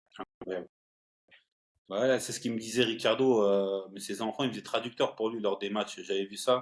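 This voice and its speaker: Long, frequent pauses break up a man's moderate-paced speech, which has a medium pitch, fairly even intonation, and big swings in loudness. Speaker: podcast host. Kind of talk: interview.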